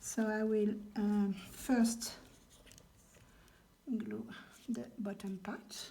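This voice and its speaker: A woman speaks very slowly at a fairly high pitch in a monotone, flat way. Her tone is dark and mellow, and somewhat breathy. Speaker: crafter, junk journal maker. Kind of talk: craft tutorial talk to camera. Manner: hesitant, with many fillers.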